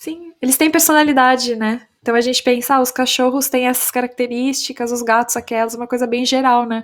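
Fairly quick, nearly pause-free speech from a woman with a high voice and fairly even intonation, on a very clean recording with a silent background. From Brazil, São Paulo. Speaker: English teacher and startup founder. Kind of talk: casual interview chat.

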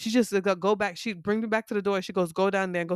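A woman talks in an animated tone, and the sound is dry and close with no echo. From New York. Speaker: podcast co-host. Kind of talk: casual chat. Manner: animated, laughs a lot.

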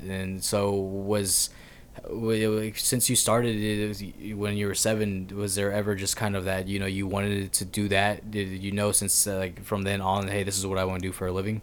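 Audible room echo surrounds a man speaking at a moderate pace, fairly low in pitch, with monotone, flat intonation. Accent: American. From Texas, Pasadena. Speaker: podcast host. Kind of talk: casual chat.

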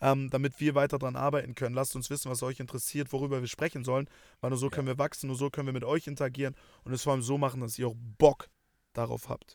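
The recording is very clean, with a silent background. A man speaks very fast at a medium pitch, monotone and flat. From Germany, Hamburg. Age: 20s. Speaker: podcast co-host. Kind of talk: casual chat. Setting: in a car.

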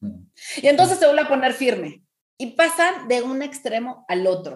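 A woman with a high pitch speaks at a fairly slow pace. Her pitch swings very widely. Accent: Mexican. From Mexico. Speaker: parenting coach. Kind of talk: podcast interview, advice talk.

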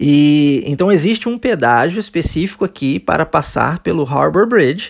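The speech is in a Brazilian accent with lively intonation. The recording is very clean, with a silent background. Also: man. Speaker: English teacher. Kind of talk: language lesson podcast.

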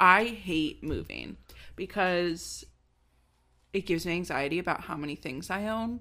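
On a very clean recording with a silent background, a woman speaks slowly-ish in a fairly low pitch with vocal fry, ordinary pitch variation and long, frequent pauses. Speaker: podcast host. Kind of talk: casual comedic chat. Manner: chatty, laughing.

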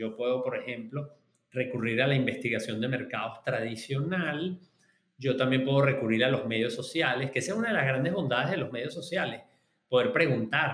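A man speaks at medium pitch with a Venezuelan accent. His pace is moderate and his pitch variation ordinary. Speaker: market researcher and professor. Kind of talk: interview. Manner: halting.

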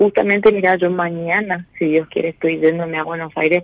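In a dry, close sound with no echo, a woman speaks at a moderate pace and fairly low pitch. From Misiones, Argentina. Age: 30s. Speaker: caller. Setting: phone call.

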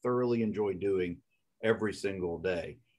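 This is a man with a Southern US accent. His pitch is fairly low. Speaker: podcast host, lawyer. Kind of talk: casual interview chat.

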